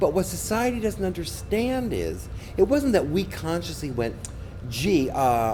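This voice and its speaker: Audible room echo and noticeable background noise both run through the recording. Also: man. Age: 60s. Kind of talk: interview. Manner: animated.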